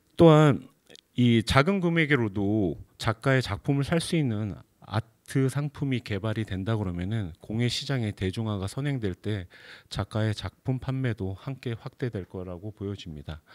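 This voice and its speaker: A medium-pitched man with lively intonation at a fairly slow pace, over a quiet background. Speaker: arts management company head, lecturer; guest lecturer. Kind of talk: lecture. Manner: seated, speaking at length. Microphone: handheld.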